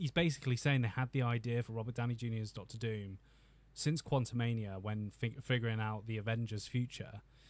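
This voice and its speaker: On a very clean recording with a silent background, a man speaks with a British accent. His pitch is medium and his pace fairly quick. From Britain. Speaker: YouTube film commentator. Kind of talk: livestream commentary. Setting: home office. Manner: animated; halting.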